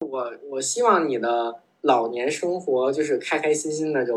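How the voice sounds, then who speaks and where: With an unremarkable speaking voice, a man speaks at a fairly slow pace and a medium pitch. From Beijing. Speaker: office worker, skier. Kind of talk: casual interview chat.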